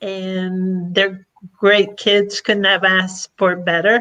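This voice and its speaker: A woman with an Argentine accent, medium pitch, a bright, sharp tone and fairly even intonation. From Argentina, then Florida from age twelve. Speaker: past president of a service organization. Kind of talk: podcast interview.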